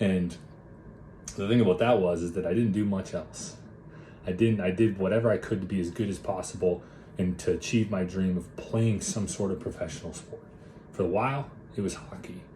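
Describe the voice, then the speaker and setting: A man speaks with an Upper Midwest accent in a fairly low pitch and fairly even intonation. His pace is fairly quick, broken by long, frequent pauses. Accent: Upper Midwest American. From Minnesota, US Upper Midwest. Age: 20s. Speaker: mindset and body transformation coach. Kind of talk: personal story monologue. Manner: casual, talkative.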